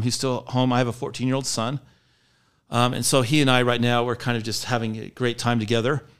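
A man at a fairly quick pace, medium pitch and monotone, flat intonation, on a very clean recording with a silent background. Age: 50s. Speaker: company employee, trainer. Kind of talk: casual interview chat.

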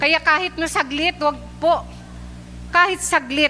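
A woman talks in a warm, animated tone. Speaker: preacher. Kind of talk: sermon, preaching in Taglish to a live church congregation. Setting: church, live recording before a congregation. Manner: earnest and warm, with frequent 'uh' fillers and polite 'po' phrasing; animated, urging and exhorting the congregation.

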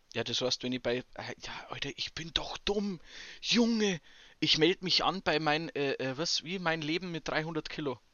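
A man's fairly high voice with a Bavarian accent, ordinary pitch variation, and fairly slow pace. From Bavaria, Chiemsee area. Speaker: podcast co-host. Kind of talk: casual chat.

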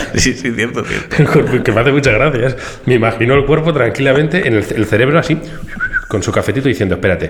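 A man speaks very fast at a medium pitch with ordinary pitch variation over noticeable background noise. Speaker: podcast co-host. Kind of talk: casual chat. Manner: animated.

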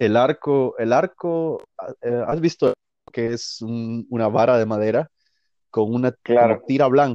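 A man speaks at a medium pitch with ordinary pitch variation. It is a normal speaking voice at a fairly slow pace. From Guatemala. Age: 20s. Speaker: violinist. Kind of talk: interview. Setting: phone call.

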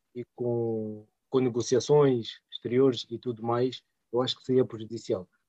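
A man talks at a fairly slow pace in a medium pitch with a dark, mellow tone. The sound is dry and close, with no echo. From Portugal, Angolan parents. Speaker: podcast co-host. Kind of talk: casual chat.

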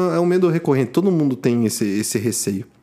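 This man's voice swings very widely in pitch. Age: 20s. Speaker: podcast co-host. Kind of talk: casual chat.

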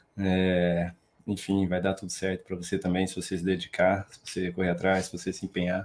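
His pitch sits very deep and low. The man keeps a moderate pace. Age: 20s. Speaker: financial market professional, math graduate. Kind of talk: casual interview on a live stream. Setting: online live stream.

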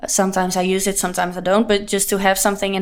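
A woman talks at a very fast pace in a Dutch accent. Her pitch is medium and her intonation monotone and flat. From Leeuwarden, Netherlands. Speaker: singer-songwriter. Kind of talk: casual interview chat. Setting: studio. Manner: halting, hesitant with fillers.

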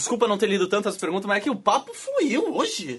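A man talks at a very fast pace in a high pitch. There is noticeable background noise. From Florianópolis, Brazil. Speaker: podcast host. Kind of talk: casual chat on a live stream.

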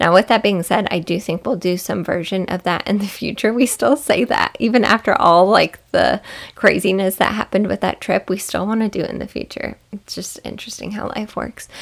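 A woman with a medium-pitched voice talks in a warm tone touched by vocal fry. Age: 30s. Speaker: podcast host. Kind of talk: solo podcast monologue. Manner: warm, soft-spoken.

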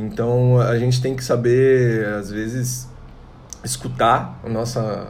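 A man speaks at a medium pitch with fairly even intonation. There is audible room echo. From Santa Catarina, Brazil (Tangará). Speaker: singer-songwriter and multi-instrumentalist. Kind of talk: casual interview chat.

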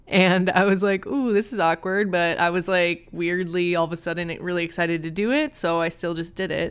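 Here a woman with an American accent talks at a fairly quick pace in a fairly low pitch, animated in tone with ordinary pitch variation. The recording is very clean and the background silent. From US Midwest, Minneapolis, Minnesota. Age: 20s. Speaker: podcast host, massage therapist. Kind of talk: personal storytelling monologue. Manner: animated, frequent laughter.

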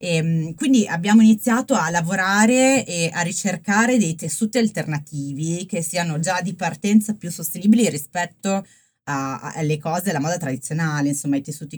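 Over music in the background, a woman with a fairly low pitch talks at a fairly quick pace with lively intonation. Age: 30s. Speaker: fashion startup founder. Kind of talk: interview. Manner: hesitant, many fillers.

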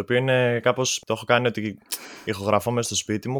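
An unremarkable speaking voice from a man, fairly quick and fairly even in intonation, with a dry, close sound and no echo. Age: 20s. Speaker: musician. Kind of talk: casual chat. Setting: video call.

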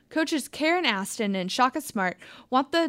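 With lively intonation and a moderate pace, a woman speaks in a normal speaking voice on a very clean recording with a silent background. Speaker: student news anchor. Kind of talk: news reading. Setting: studio.

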